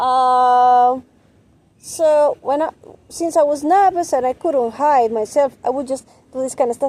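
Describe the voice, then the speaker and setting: A woman speaks at a high pitch with ordinary pitch variation. Her pace is fairly slow. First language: not English. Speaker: vlogger sharing personal story. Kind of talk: personal testimony monologue. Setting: outdoors. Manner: halting, with repetitions and fillers.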